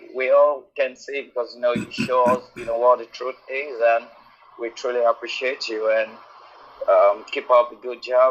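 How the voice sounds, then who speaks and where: There is noticeable background noise. A man speaks through it at a moderate pace. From Nigeria. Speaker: caller. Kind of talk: call-in testimony. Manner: halting.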